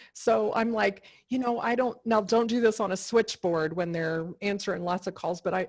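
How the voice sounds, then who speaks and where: In a plain, everyday voice, a woman talks at a moderate pace and medium pitch with ordinary pitch variation. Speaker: career coach. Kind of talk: webinar Q&A.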